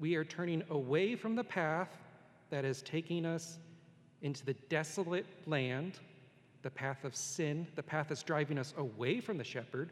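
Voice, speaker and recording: A man's voice at a moderate pace, fairly high in pitch, with ordinary pitch variation and an ordinary speaking voice. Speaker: pastor. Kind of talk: sermon. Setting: church.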